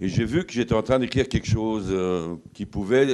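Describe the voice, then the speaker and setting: Over a quiet background, a man talks fairly quickly with a fairly low pitch and a dark, mellow tone. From France, Paris. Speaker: author and former army officer. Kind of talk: lecture. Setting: lodge hall with audience. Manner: halting, many fillers.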